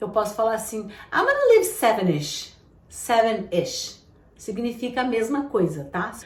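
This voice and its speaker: Over noticeable background noise and audible room echo, a woman talks at a moderate pace with a fairly high pitch. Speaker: English teacher. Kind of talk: tutorial.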